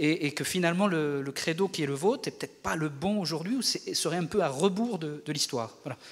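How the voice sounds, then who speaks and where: A man's high-pitched voice with lively intonation. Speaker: audience member. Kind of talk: audience question. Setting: stage with audience. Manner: halting.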